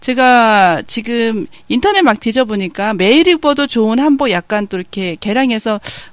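At a moderate pace, a woman speaks with a fairly high voice. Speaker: radio host. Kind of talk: casual radio interview.

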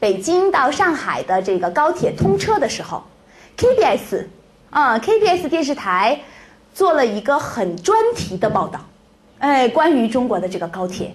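A woman speaks loudly at a fairly slow pace, in a high pitch with very wide pitch swings. Noticeable background noise runs under her voice. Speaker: Chinese language teacher. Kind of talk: lecture. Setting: classroom with live audience. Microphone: echo on the microphone.

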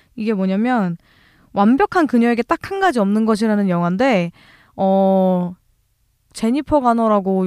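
In a dry, close recording with no echo, a woman speaks at a moderate pace with a fairly high pitch and lively intonation. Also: very clean recording, silent background. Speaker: podcast co-host. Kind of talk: casual chat. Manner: animated.

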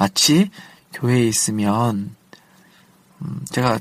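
This man talks very slowly. His voice rests at a medium pitch. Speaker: pastor and small shop owner. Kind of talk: casual monologue. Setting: in a car. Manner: halting.

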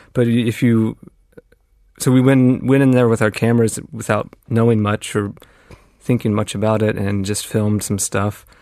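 This man talks at a moderate pace and a medium pitch. His dark, mellow tone stays monotone, with flat intonation. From US Midwest (Indiana). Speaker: independent filmmaker. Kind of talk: interview. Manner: halting.

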